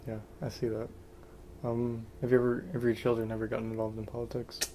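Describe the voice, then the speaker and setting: The delivery is very fast, with monotone, flat intonation. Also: man, medium pitch for a man. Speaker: interviewer. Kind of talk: casual interview questions.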